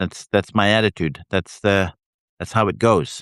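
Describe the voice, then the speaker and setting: Very deep and low, a man's voice comes through with a Canadian accent at a fairly slow pace. The sound is dry and close with no echo, over a quiet background. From Canada. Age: 60s. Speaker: writer and livestream host. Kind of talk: casual live chat. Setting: live video stream. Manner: halting, many fillers.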